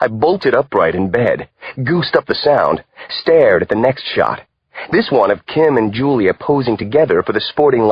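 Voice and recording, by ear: The background stays quiet. A natural voice reads aloud over it.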